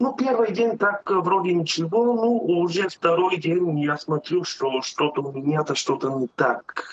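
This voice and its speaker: Here a man speaks fairly slowly in a high pitch. His intonation is lively. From Bulgaria. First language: Bulgarian (speaking Russian). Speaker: truck driver, customer testimonial. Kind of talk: testimony. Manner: halting, many filler sounds.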